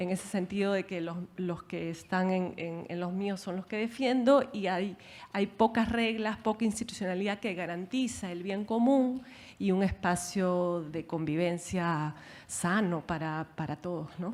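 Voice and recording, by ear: A woman talks at a moderate pace with few pauses, her pitch fairly low and her tone slightly mellow. Her intonation stays fairly even.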